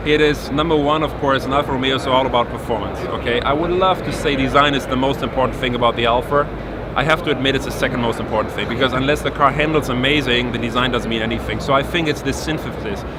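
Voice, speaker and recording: Amid noticeable background noise and audible room echo, a man with a German accent talks at a very fast pace, his medium pitch held in fairly even intonation. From Germany. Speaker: car designer. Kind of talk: interview.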